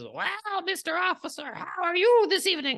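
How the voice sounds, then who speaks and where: Someone does a put-on character voice at an extremely high pitch, speaking at a moderate pace. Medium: actual play.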